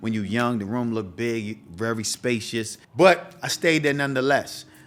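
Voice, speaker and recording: With music in the background, a man with an American accent speaks at a moderate pace in a medium pitch. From Bahamas, Freeport. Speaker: podcast host, entrepreneur. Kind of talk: casual storytelling monologue. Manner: casual, slangy.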